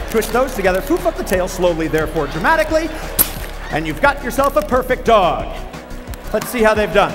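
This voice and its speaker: Playful in tone, the speech swings very widely in pitch and leaves long, frequent pauses while music plays clearly in the background. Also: man, extremely high pitch for a man, fairly quick pace. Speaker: professional speaker, comedian and juggler. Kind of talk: motivational keynote stage talk to an audience. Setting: live stage demonstration with audience. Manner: playful, comedic instructional patter. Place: stage.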